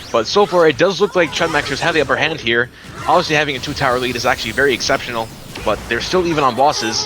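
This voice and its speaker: A man at a very fast pace with ordinary pitch variation, music in the background. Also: fairly high pitch for a man. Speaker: esports caster. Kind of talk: live commentary. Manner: animated.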